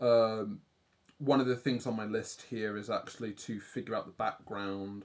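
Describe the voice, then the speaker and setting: A man speaks in a British accent with monotone, flat intonation. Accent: British accent, often praised by viewers. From UK. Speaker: livestreaming artist. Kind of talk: casual livestream chat while drawing.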